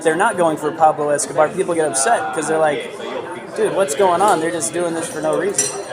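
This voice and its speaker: Amid crowd noise and audible room echo, a man with an American accent talks at a very fast pace in a high pitch with ordinary pitch variation. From Miami. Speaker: blogger. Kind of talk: street interview. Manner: casual, filler-heavy ("like").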